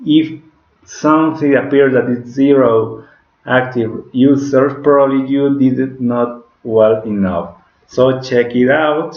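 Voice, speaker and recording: With a Spanish accent, a man at a medium pitch speaks very slowly in a fairly even intonation, with audible room echo. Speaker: digital marketing instructor. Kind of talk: tutorial. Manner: halting, with frequent self-corrections.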